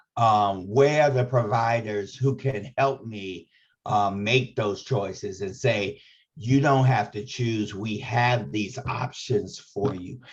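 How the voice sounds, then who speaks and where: A man speaks at a very slow pace in a somewhat breathy, medium-pitched voice. His pitch varies in an ordinary way. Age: 60s. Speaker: HIV advocate and trainer. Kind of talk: training webinar discussion.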